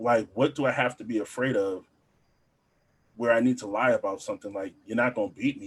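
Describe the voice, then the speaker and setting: A man speaks at medium pitch and a fairly quick pace. His loudness swings widely, and long, frequent pauses break up his speech. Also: fairly even intonation. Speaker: podcast co-host. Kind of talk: casual chat. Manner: halting.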